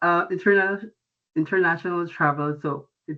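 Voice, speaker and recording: A man with a Filipino accent speaks at a moderate pace. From Philippines, Antipolo, Rizal province. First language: Tagalog. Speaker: international student. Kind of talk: presentation. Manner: halting.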